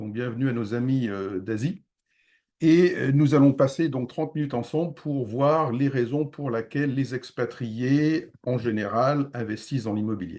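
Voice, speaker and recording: A man's dark, mellow voice at medium pitch, fairly slow in pace with ordinary pitch variation, over a quiet background. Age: 60s. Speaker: real estate investment advisor. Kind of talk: webinar presentation. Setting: online video conference. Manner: hesitant with frequent fillers.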